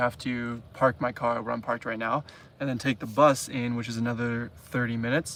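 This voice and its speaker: Over a silent background on a very clean recording, a man at medium pitch talks at a moderate pace with monotone, flat intonation. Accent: Canadian. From Canada. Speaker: travel vlogger. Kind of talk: live stream chat. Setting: inside a camper van. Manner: casual, hesitant with fillers.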